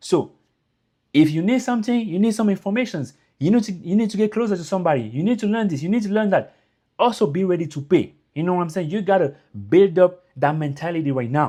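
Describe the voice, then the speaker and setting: Against a quiet background, a man with a French accent speaks very fast. His pitch is high and his intonation lively. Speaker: YouTuber giving immigrant advice. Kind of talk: casual motivational talk to camera. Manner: informal, repetitive fillers.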